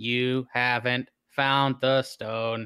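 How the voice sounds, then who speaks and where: A man puts on a character voice at a medium pitch. His intonation stays flat and monotone. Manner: insistent, commanding.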